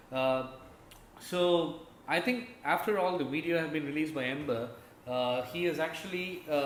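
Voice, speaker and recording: Noticeable background noise and audible room echo accompany speech delivered at a moderate pace, its pitch varying ordinarily. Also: man, fairly high pitch for a man. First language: not English. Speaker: gaming YouTuber. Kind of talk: casual commentary video. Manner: halting, many fillers.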